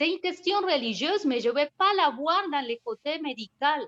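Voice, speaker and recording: A woman speaks with a non-native accent at a moderate pace. The sound is dry and close, with no echo. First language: not French (speaking French). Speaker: participant in a feminist association discussion. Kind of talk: video conference discussion. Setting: video call.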